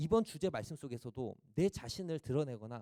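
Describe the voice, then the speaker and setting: Dry and close with no echo, a man's dark, mellow voice carries lively intonation. He talks at a fairly quick pace. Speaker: preacher. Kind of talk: sermon. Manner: rhetorical questions to the audience.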